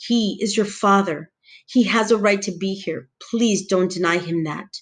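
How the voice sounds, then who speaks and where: A shaky, put-on character voice moves along at a moderate pace. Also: female-sounding voice, medium pitch for a woman. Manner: pleading, emotional.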